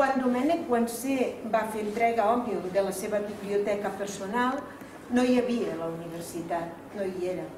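Noticeable background noise behind a woman speaking with ordinary pitch variation. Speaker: cultural association president. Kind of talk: formal speech at event. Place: hall. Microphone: camera far.

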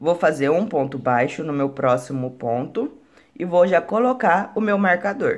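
A woman speaks at a moderate pace. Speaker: crochet instructor. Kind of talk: tutorial.

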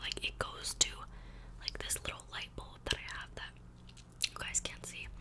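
A woman whispers at a moderate pace. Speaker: ASMR creator. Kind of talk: ASMR whispered rambling to camera. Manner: soft-spoken, whispery, casual. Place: home room. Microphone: studio mic.

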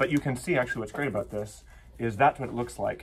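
A man speaks in a somewhat breathy voice. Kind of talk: tutorial. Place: workshop.

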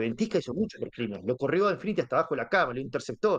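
Over a quiet background, a man with a Rioplatense accent talks at a very fast pace in a fairly high pitch with very wide pitch swings. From Buenos Aires, Argentina. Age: 40s. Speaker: online gamer, guild leader. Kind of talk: casual interview.

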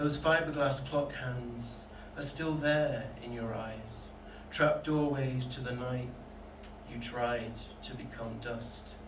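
A man speaks very slowly at a medium pitch with fairly even intonation. Noticeable background noise runs underneath. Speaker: poet. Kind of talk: spoken word poetry performance, read aloud from the page. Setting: stage with live audience at a pub event. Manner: earnest, vulnerable and deliberate, with emotional weight. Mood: earnest, emotional. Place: stage. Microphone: pa.

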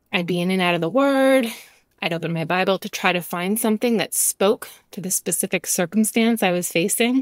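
Her pitch is medium and varies in an ordinary way. The woman talks fairly quickly in a plain, everyday voice. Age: 40s. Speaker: podcast host, Bible teacher. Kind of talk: devotional podcast monologue.

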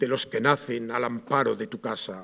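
A man talks at a moderate pace over a quiet background. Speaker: presenter of the proclaimer, poet. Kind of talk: formal speech introducing the proclaimer. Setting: theatre stage with audience. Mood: solemn, devotional. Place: stage. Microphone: podium.

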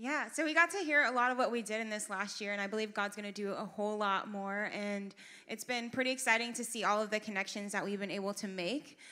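With a bright, sharp tone, a woman talks at a very fast pace with hardly any pauses and ordinary pitch variation. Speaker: church volunteer coordinator. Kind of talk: church announcements. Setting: church. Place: stage. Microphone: handheld.

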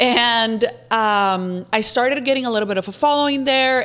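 A woman speaks at a fairly high pitch, and her pitch varies in an ordinary way. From Mexico, Los Mochis, Sinaloa; Sinaloa, Mexico. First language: Spanish. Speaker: social media influencer; podcast guest. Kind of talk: casual chat. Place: studio. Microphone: studio mic.

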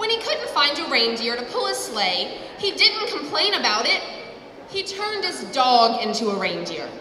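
With a raised, projected voice, a woman speaks at a moderate pace amid audible room echo and light background noise. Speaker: candidate. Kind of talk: campaign speech. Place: hall. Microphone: handheld.

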